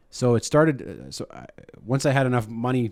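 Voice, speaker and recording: A man with a Canadian accent and an unremarkable speaking voice talks at a fairly quick pace with ordinary pitch variation, in a very clean recording with a silent background. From Saskatchewan, Canada (Saskatoon). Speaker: radio host. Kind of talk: casual chat. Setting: studio with live audience. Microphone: very close to the mic.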